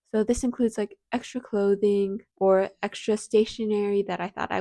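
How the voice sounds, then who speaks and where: A woman with an ordinary speaking voice talks at a medium pitch and a moderate pace, the sound dry and close with no echo. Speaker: university student. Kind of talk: casual advice talk to camera.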